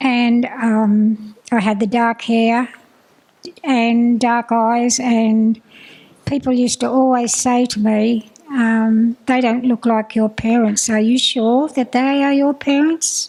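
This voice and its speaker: In an Australian accent, a woman speaks at a very slow pace and a fairly high pitch, with monotone, flat intonation and very even loudness. Noticeable background noise runs underneath. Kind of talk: personal testimony. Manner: halting.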